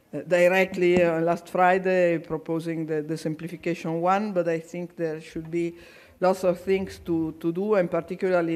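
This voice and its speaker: The speaker has an Italian accent. The pace is moderate. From Italy. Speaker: conference chair, agricultural association official. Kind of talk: conference speech. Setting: public conference hall. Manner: halting, repeats words.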